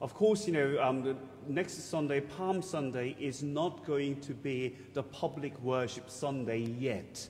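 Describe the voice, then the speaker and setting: At a very slow pace, a man speaks in a somewhat breathy voice with ordinary pitch variation. Light background noise sits behind him. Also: fairly high pitch for a man. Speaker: priest or church officer giving notices. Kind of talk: church announcements. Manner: halting, chatty, with filler words. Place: church.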